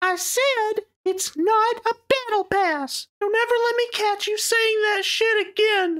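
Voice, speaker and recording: This voice sits at an extremely high pitch and moves at a fairly slow pace with hardly any pauses. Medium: comedy sketch. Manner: aggressive, threatening.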